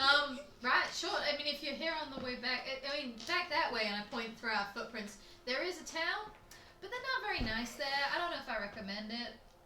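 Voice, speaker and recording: A put-on, high-pitched character voice at a fairly quick pace, over clear background noise. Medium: actual play. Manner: hesitant, rambling.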